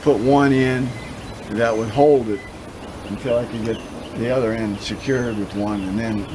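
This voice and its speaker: Man at medium pitch and moderate pace, with noticeable background noise. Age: 80s+. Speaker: retired home builder, DIY workshop builder. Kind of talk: interview answer. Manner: hesitant, with frequent fillers.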